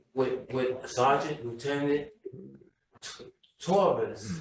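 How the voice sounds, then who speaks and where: A fairly high-pitched man at a very slow pace, ordinary pitch variation, and audible room echo. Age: 60s. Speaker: community member. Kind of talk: public testimony.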